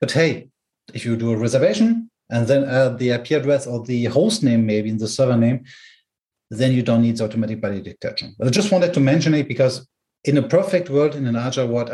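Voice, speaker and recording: Somewhat breathy and dark, mellow in tone, the voice moves at a fairly quick pace with ordinary pitch variation. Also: man. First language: German. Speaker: tech company product specialist. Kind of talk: technical explanation. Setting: home with garden noise.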